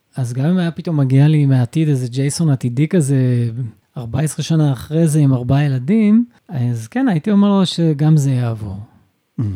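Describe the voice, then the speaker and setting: The man's tone is dark and mellow, set at a fairly high pitch. His intonation is lively and his pace moderate. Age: 50s. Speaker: stay-at-home father and photographer. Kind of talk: casual interview conversation. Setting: wife's clinic.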